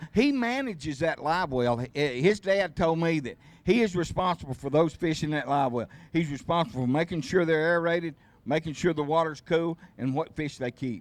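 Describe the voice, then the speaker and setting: With a Southern US accent, a man talks at a fairly quick pace in a fairly high voice with ordinary pitch variation, on a very clean recording with a silent background. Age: 70s. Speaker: tournament host. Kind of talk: casual chat.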